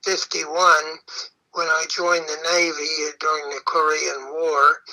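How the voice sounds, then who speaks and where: Fairly high-pitched and bright, sharp in tone, a man speaks at a fairly slow pace. His intonation is monotone and flat. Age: 80s+. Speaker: retired gold miner. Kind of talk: personal reminiscence narration.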